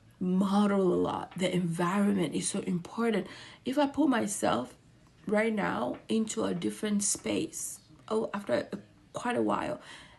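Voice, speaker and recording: With an American accent, a woman at medium pitch talks at a moderate pace in an animated tone, with lively intonation and vocal fry. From Ghana. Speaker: mental health commentator. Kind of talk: commentary video.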